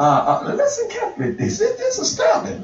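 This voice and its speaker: Room echo is audible here. The speaker is a man. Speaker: pastor. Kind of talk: sermon. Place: studio.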